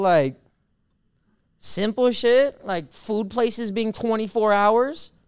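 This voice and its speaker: In a very clean recording with a silent background, a man with a high voice speaks at a very slow pace. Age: 30s. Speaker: DJ and podcast co-host. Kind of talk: casual chat.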